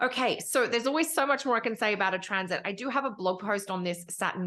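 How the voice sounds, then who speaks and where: A woman talks at a very fast pace with lively intonation and an Australian accent. The background is quiet. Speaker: astrologer. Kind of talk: tutorial.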